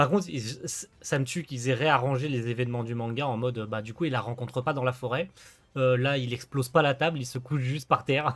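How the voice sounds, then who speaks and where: Over a very clean recording with a silent background, a man with an unremarkable speaking voice talks at a fairly quick pace, at medium pitch with fairly even intonation. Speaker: gaming video creator. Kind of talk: let's play commentary with game text read aloud. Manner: casual, chatty.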